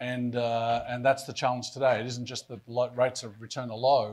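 Here a man speaks with an Australian accent at a medium pitch and a fairly quick pace. The background is quiet. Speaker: pension fund board chair; panelist. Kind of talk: panel discussion. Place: hall. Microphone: lapel.

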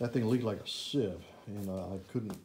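A man with a normal speaking voice, fairly low pitch, fairly even intonation and a fairly quick pace over light background noise. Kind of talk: casual vlog chat. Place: garage. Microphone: phone near.

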